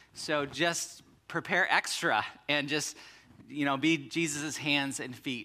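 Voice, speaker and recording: A man speaks in a bright, sharp tone. His pitch variation is ordinary. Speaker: pastor. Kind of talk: sermon. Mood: somber then warm. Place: church.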